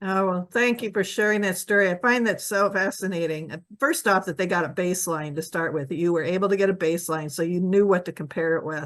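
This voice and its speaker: A woman with a plain, everyday voice talks at a fairly quick pace and medium pitch, with ordinary pitch variation and hardly any pauses. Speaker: community advocate interviewer. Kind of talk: interview questions.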